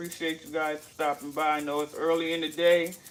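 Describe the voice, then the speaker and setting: Monotone, flat intonation marks this man's high-pitched voice. His pace is moderate. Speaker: cooking livestream host. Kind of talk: casual cooking livestream. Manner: casual, chatty.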